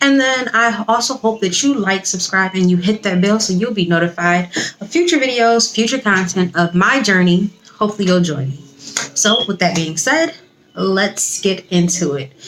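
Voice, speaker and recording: A woman keeps a moderate pace while noticeable background noise runs beneath her. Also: medium pitch for a woman, lively intonation. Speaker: vlogger and nursing school applicant. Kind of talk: casual vlog talk to camera. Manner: quiet, hushed.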